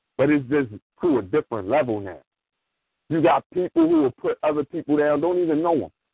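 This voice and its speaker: His pitch sits fairly high. This man talks at a fairly quick speed. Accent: American. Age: 40s. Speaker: former school teacher and youth mentor. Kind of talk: call-in radio discussion.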